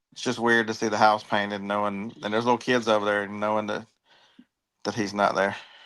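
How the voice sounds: A man talks at a fairly quick pace with a fairly low pitch. His tone is fairly bright, with little pitch movement.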